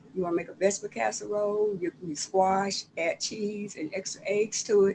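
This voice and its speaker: Her Southern US accent carries lively intonation. The woman talks at a fairly quick pace. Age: 70s. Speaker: author. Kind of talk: casual chat. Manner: halting.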